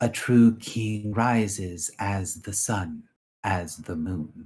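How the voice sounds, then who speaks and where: A man's put-on character voice, fairly low in pitch and very slow. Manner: solemn, proclaiming.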